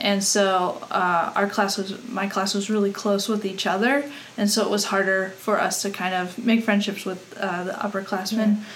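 A woman with an American accent at medium pitch, monotone and flat, moderate pace, with noticeable background noise and audible room echo. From Colorado. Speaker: former college athlete. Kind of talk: casual chat.

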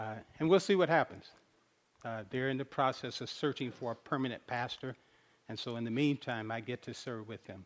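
An ordinary speaking voice moves at a fairly quick pace with ordinary pitch variation and big swings in loudness. The background is quiet. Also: man, medium pitch for a man. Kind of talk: sermon.

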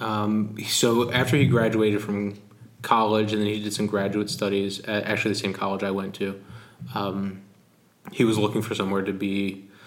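Monotone, flat intonation comes through amid audible room echo. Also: man, fairly low pitch for a man, moderate pace. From US Northeast, Philadelphia. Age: 30s. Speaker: pastor. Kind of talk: interview.

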